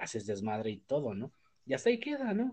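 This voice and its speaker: A man with a Mexican accent. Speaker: podcast host. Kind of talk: casual chat. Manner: halting, many fillers.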